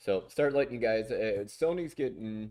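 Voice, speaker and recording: With an American accent, a man speaks in a dark, mellow tone at a moderate pace. The recording is very clean and the background silent. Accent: Southern US accent, comes out at times. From US South. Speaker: streamer and music producer. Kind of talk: casual livestream chat.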